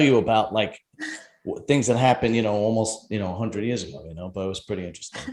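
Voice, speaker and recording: Speaking very fast, a man with a Brooklyn accent uses a medium pitch and ordinary pitch variation. His loudness swings widely. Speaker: podcast host. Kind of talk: casual interview chat. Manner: animated.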